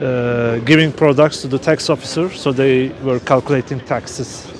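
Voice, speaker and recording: A man's voice, dry with no echo, has fairly even intonation against noticeable background noise. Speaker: travel vlogger. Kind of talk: live-streamed walking tour. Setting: outdoors. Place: street. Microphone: phone near.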